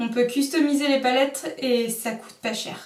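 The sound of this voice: This woman's voice sits at a fairly high pitch, moving at a moderate pace with ordinary pitch variation.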